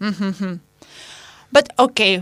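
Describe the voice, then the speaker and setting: A woman speaks with a strong Spanish accent and lively intonation. The recording is very clean, the background silent. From Spain. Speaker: radio host. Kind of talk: casual chat. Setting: studio.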